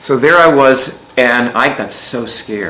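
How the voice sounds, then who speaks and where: A man's medium-pitched voice is heard through noticeable background noise with audible room echo. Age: 60s. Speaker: alternative healing teacher. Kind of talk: lecture. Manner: casual, rambling with many fillers.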